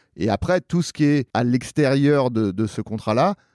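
The voice has a dark, mellow tone and ordinary pitch variation at a fairly slow pace. The recording is very clean with a silent background, dry and close with no echo. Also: man. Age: 40s. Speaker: actor, author and podcaster. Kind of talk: casual chat.

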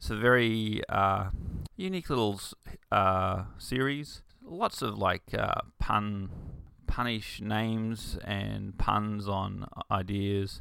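A man with an Australian accent is heard in a very clean recording with a silent background. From Queensland, Australia (rural, Bundaberg). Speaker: podcast host, comic writer and artist. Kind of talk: casual solo talk about comics. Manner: hesitant, many fillers and restarts.

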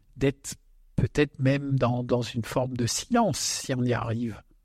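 A man speaks at a medium pitch with a somewhat breathy quality. The sound is dry and close with no echo, and the recording is very clean over a silent background. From Alsace. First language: Alsatian (speaking French). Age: 60s. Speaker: winemaker. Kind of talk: casual chat. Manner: halting.

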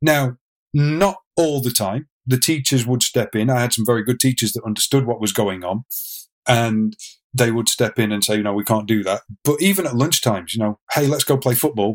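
A man with an English accent speaks at a medium pitch with ordinary pitch variation. The sound is dry and close, with no echo. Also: moderate pace, very clean recording, silent background. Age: 40s. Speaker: drummer and fitness instructor. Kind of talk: interview storytelling.

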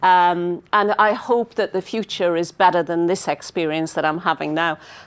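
Her pitch is fairly low for a woman, and her intonation stays fairly even. She speaks at a moderate pace against a quiet background. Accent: northeast English. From northeast England, mining village. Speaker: business executive. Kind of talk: interview.

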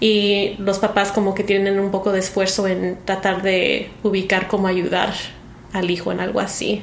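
A woman talks at a moderate pace and a medium pitch, her intonation monotone and flat and her loudness very even. The recording carries audible room echo and noticeable background noise. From US Midwest, Chicago (Mexican-born). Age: 20s. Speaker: actress. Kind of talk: casual interview chat. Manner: halting, searching for words in Spanish.

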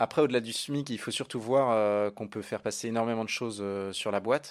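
A man talks at a fairly quick pace in a fairly low, unremarkable speaking voice with fairly even intonation. The recording is very clean, with a silent background. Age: 30s. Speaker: app co-founder. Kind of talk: interview.

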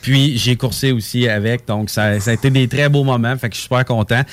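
A man with an ordinary speaking voice speaks at a fairly quick pace. His pitch is medium and his intonation fairly even. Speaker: race car driver. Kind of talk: casual chat.

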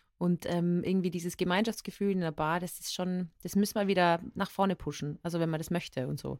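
A woman talks at a fairly quick pace, her pitch fairly low. She keeps her intonation fairly even and hardly pauses. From Austria, Tyrol (Innsbruck). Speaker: podcast co-host. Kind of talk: casual chat. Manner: loud.

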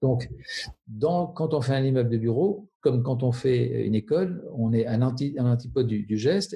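A man's medium-pitched, somewhat breathy voice, dark and mellow in tone, with ordinary pitch variation at a moderate pace. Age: 50s. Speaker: architect. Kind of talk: interview. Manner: halting.

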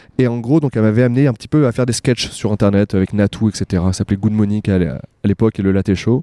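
A man speaks at a very fast pace in a fairly low pitch with a dark, mellow tone and ordinary pitch variation, in a dry, close sound with no echo on a very clean recording with a silent background. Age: 30s. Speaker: actor and YouTuber. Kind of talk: casual chat. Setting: outdoors on a street. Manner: animated.

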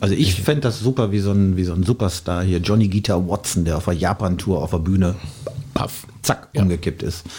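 Noticeable background noise sits behind a man with a very deep, low pitch. He talks at a fairly quick pace with ordinary pitch variation. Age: 50s. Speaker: DJ. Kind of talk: casual chat.

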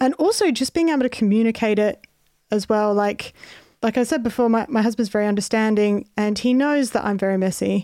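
A woman with an Australian accent talks at a fairly quick pace. Her dark, mellow voice sits fairly high in pitch, with ordinary pitch variation. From Australia (Adelaide). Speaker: comedian. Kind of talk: casual chat. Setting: video call.

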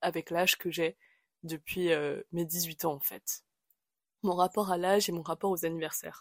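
In a very clean, dry and close recording with no echo and a silent background, a woman speaks fairly slowly at a fairly low pitch with monotone, flat intonation. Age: 20s. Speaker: podcast host. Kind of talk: casual monologue. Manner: hesitant, with many fillers.

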